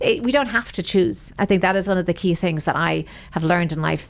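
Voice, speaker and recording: A woman speaks at a fairly quick pace with an Irish accent. Her voice shows vocal fry and ordinary pitch variation. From Ireland. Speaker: senior wealth advisor. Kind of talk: interview.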